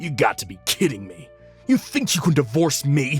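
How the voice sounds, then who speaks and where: Using a put-on character voice at a fairly high pitch, a man speaks at a moderate pace over faint music in the background. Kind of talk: manga dub narration. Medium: dub. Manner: angry.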